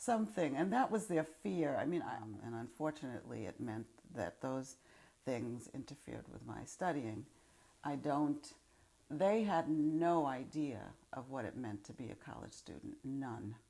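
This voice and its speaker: Speaking in a New York accent, a woman with a very deep, low pitch and a dark, mellow tone talks at a fairly slow pace with vocal fry, very wide pitch swings and big swings in loudness. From Upper Manhattan, New York City. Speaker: former college student, oral history interviewee. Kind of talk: interview answer. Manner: reflective, hesitant.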